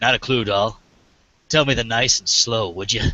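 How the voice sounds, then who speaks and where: Using a raspy, put-on character voice at medium pitch, a man speaks at a moderate pace. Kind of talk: hard-boiled noir. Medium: read story. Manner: laconic, tough-guy.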